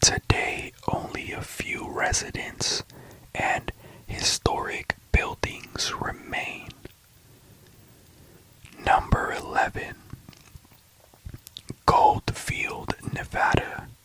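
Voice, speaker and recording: Whispering in a calm tone, the speaker goes at a very slow pace with long, frequent pauses against noticeable background noise. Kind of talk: sleep story, whispered history facts narration. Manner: whispered, calm, slow.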